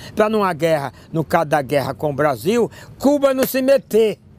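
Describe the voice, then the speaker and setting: Moderately paced speech from a man, his pitch swinging very widely. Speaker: political activist. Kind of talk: interview. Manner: animated.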